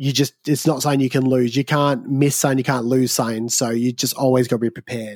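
Very fast and with hardly any pauses, a man in an Australian accent talks at a medium pitch, his intonation monotone and flat. The recording is very clean, with a silent background and a dry, close sound with no echo. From Australia, southeast Victoria. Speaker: wedding videographer and photographer. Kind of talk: casual chat. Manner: casual, hesitant with fillers.

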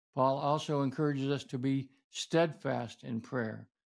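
A man's ordinary speaking voice at medium pitch, fairly slow and with fairly even intonation, on a very clean recording with a silent background. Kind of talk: teaching sermon-style talk on prayer. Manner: earnest, instructive, explanatory.

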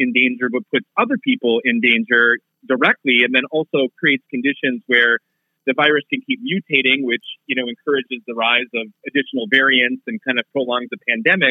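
Someone talks in a normal speaking voice with an American accent. The pace is fairly quick, with ordinary pitch variation. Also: man. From Minnesota. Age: 30s. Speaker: political journalist. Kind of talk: casual interview.

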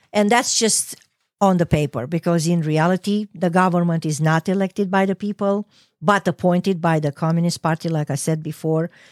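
Speaking at a fairly quick pace with a Romanian accent and ordinary pitch variation, this voice is recorded very cleanly against a silent background. The sound is dry and close, with no echo. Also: woman, fairly low pitch for a woman. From Romania, Ploiești. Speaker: petroleum engineer, immigrant. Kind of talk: interview.

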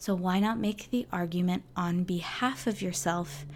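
A woman speaks in a normal speaking voice. Her pitch is medium. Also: very clean recording, silent background. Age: 30s. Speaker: flutist and mindset coach for musicians. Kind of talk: solo podcast monologue. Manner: casual, with many fillers.

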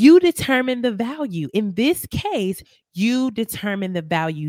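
Recorded with a dry, close sound and no echo, a woman with an American accent speaks at a fairly slow pace in an animated tone, her pitch swinging very widely. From US Midwest, Milwaukee, Wisconsin. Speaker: podcast host, faith-based life coach. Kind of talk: motivational faith talk monologue.

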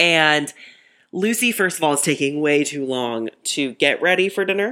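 A woman's very deep, low voice has a bright, sharp tone and very wide pitch swings. The recording is very clean with a silent background. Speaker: podcast host. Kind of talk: casual solo podcast recap.

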